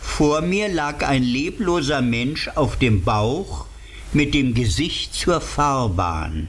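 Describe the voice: Lively intonation runs through it. The delivery is plain reading aloud.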